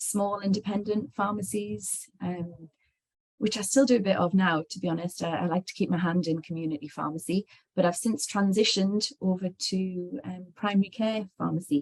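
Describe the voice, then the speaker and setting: Somewhat breathy, a woman speaks at a moderate pace and medium pitch with ordinary pitch variation. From northeast England. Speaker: clinical pharmacist. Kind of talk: webinar conversation. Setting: online webinar. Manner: hesitant, many fillers.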